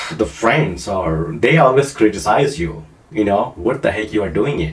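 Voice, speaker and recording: Speaking at a moderate pace, a man with a non-native accent has a fairly low pitch that swings very widely. Audible room echo surrounds his voice. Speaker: online marketing coach. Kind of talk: casual tutorial to camera. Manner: halting, many fillers.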